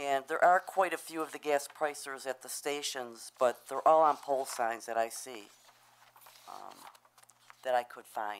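A woman talks at a fairly slow pace and a very deep, low pitch with ordinary pitch variation. Her loudness swings widely, and she leaves long, frequent pauses. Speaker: sign company representative. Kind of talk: public hearing testimony. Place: meeting room. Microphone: podium.

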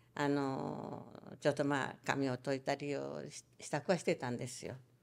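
At a moderate pace, a woman talks in a Hiroshima accent. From Hiroshima, Japan; Japan. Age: 90s. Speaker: atomic bomb survivor and storyteller. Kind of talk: testimony. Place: home room. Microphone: handheld.

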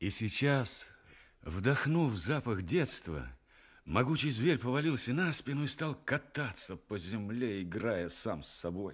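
A man speaks at a very slow pace with vocal fry and very wide pitch swings. The background is quiet. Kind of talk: radio play narration, fairy tale for children. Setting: radio broadcast, studio recording. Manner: warm, storytelling, expressive. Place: studio.

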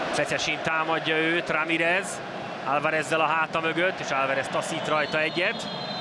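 Over noticeable background noise, a man with a fairly high pitch speaks at a moderate pace and very even loudness. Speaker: football commentator. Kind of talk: live commentary. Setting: stadium. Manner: animated.

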